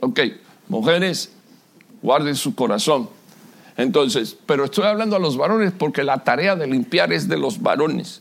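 A man's fairly high voice with vocal fry, very wide pitch swings, a moderate pace and long, frequent pauses. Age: 60s. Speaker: pastor. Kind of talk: sermon. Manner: animated.

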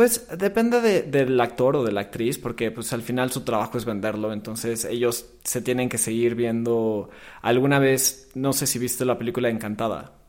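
A man in an ordinary speaking voice, medium in pitch, speaks at a moderate pace with hardly any pauses on a very clean recording with a silent background. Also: ordinary pitch variation. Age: 20s. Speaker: film marketing professional. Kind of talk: casual chat.

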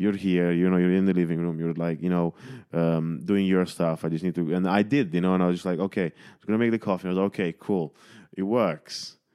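On a very clean recording with a silent background, a man with a Romanian accent speaks very fast in a very deep, low voice with a dark, mellow tone and fairly even intonation. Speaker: podcast host and comedian. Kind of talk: casual chat.

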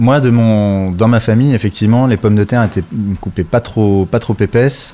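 Ordinary pitch variation marks the dark, mellow tone of this man's voice. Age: 40s. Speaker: chef and restaurant owner. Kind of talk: interview. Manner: hesitant, many filler sounds.

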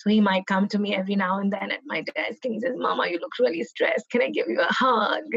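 Noticeable background noise sits behind a woman of medium pitch who speaks at a very fast pace. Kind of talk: casual chat.

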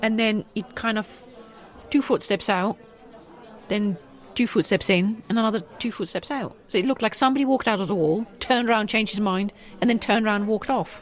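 A woman speaks at a fairly high pitch and a fairly quick pace, with ordinary pitch variation. She takes long, frequent pauses as music plays in the background. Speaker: podcast co-host and voice actor. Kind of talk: casual chat.

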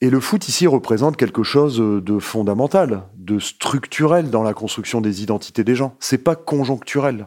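At a moderate pace with hardly any pauses, the speech has lively intonation on a very clean recording with a silent background. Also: man, medium pitch for a man. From Nord-Pas-de-Calais, France. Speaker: sociologist. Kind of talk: interview. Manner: hesitant with fillers.

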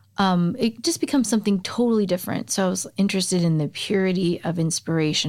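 Talking very fast with lively intonation, a woman with an American accent uses a fairly low pitch. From suburbs of Chicago. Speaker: singer-songwriter. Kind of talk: casual interview chat. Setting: studio.

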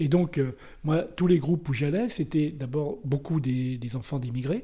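Somewhat breathy, a man's voice has a dark, mellow tone and ordinary pitch variation. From Brittany, France. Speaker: war photographer. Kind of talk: casual chat.

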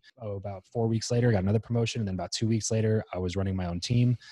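A man with an American accent speaks in a flat monotone, his tone dark and mellow and somewhat breathy. The recording is very clean, with a silent background. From US, Southern California (northern LA County). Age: 20s. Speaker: podcast host, entrepreneur. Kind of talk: interview conversation. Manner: halting, many fillers and restarts.

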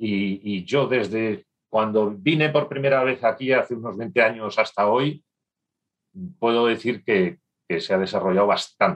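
The pace here is fairly slow. It is an unremarkable speaking voice, with ordinary pitch variation. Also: man, medium pitch for a man. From northern Spain. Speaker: business executive. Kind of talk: interview.

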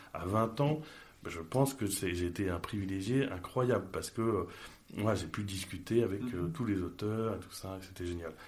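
A man speaks at a fairly low pitch. Audible room echo surrounds his voice. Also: ordinary pitch variation, moderate pace. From Paris, France. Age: 30s. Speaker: entrepreneur. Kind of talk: interview conversation.

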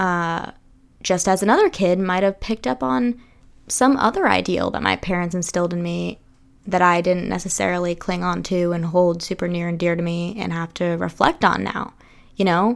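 A woman talks in a normal speaking voice at a fairly low pitch and a moderate pace. Her pitch varies in an ordinary way, and the recording is very clean with a silent background. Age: 20s. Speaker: podcast host. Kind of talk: casual solo monologue. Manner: casual, filler-heavy.

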